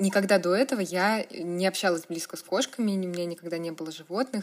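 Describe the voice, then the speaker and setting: This woman has a plain, everyday voice at a medium pitch, with ordinary pitch variation and a moderate pace. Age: 20s. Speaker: blogger. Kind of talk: casual interview.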